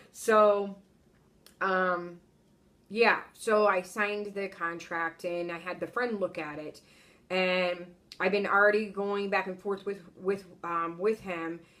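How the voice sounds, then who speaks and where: Her medium-pitched voice bright and sharp, a woman speaks in a monotone, flat way at a very slow pace. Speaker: travel nurse vlogger. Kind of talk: casual vlog monologue.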